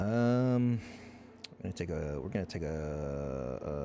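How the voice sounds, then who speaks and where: A man's very deep, low voice with very wide pitch swings, over background music and audible room echo. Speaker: gaming streamer. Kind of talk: gameplay commentary. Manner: casual, thinking aloud.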